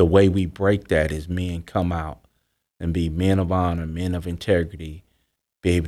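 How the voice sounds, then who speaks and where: A man's very deep, low voice with a dark, mellow tone, in a Southern US accent, monotone and flat in intonation at a moderate pace, on a very clean recording with a silent background. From US South. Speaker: author and former drug dealer. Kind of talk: interview testimony.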